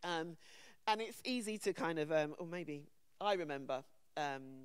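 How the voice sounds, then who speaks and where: A woman with a London accent, fairly low in pitch, at a fairly slow pace with lively intonation. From England, London. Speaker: conference panel speaker. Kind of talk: conference talk.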